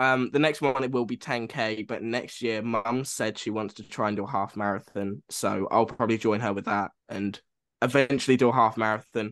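Over a quiet background, a man talks at a moderate pace in a plain, everyday voice of medium pitch with fairly even intonation. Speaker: podcast co-host, film student. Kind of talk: casual chat.

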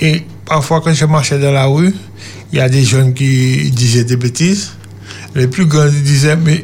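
Over noticeable background noise, a man speaks fairly slowly at a fairly high pitch, with ordinary pitch variation, very even loudness and long, frequent pauses. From Martinique (Trinité). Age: 50s. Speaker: testimony guest, former brawler. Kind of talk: testimony.

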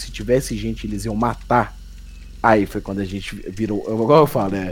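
A man is speaking. His pace is moderate. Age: 20s. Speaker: horror YouTuber. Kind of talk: casual chat. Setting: voice call.

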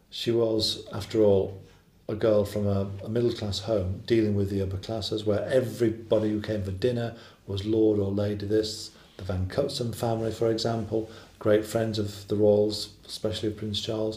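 The man's voice is dark, mellow and somewhat breathy, fairly low in pitch. His delivery is monotone and flat. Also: moderate pace. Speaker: royal commentator. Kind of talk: documentary interview.

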